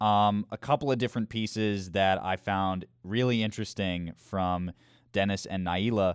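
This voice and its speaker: A man with a plain, everyday voice and a fairly low pitch talks at a moderate pace with fairly even intonation, the sound dry and close with no echo against a quiet background. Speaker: college radio host. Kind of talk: casual chat.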